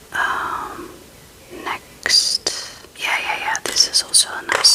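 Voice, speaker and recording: Whispering over noticeable background noise. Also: woman. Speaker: ASMR creator. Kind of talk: ASMR show and tell, casual talk to camera. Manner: whispered, soft-spoken.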